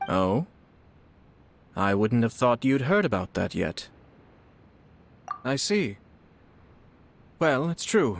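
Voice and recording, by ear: A man does a put-on character voice at a slow pace, with big pitch swings, vocal fry and long, frequent pauses. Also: medium pitch for a man.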